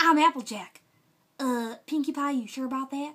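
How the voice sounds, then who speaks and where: A woman's voice is raised and projected, with lively intonation. The background is quiet. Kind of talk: character voice impressions. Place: home room. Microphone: studio mic.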